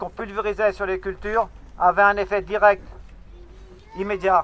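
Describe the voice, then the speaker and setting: A man's high-pitched, raised and projected voice, bright and sharp in tone, at a fairly quick pace. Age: 60s. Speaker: beekeeper. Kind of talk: speech to protesters. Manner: halting.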